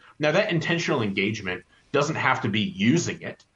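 Speaking at a fairly quick pace with lively intonation, a man has an unremarkable speaking voice. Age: 30s. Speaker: author and marketing editor. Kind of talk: interview.

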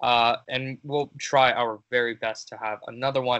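With a Canadian accent, a man with an unremarkable speaking voice talks at a moderate pace and medium pitch, with fairly even intonation. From Canada. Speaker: football podcast host. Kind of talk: casual chat.

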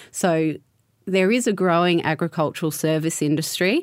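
With an Australian accent, a woman talks at a fairly quick pace in a fairly low voice. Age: 30s. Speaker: winery environmental manager. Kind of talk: interview.

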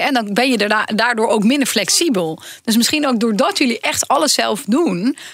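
Lively intonation runs through the speech against noticeable background noise. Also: woman. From Brabant, Netherlands. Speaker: professor and podcast co-host. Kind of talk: casual chat.

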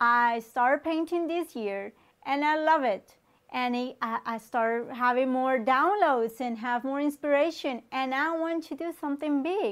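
A woman with a Colombian accent speaks at a high pitch. Her recording is very clean, with a silent background. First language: Spanish. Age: 30s. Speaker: online talk show host. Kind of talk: motivational talk.

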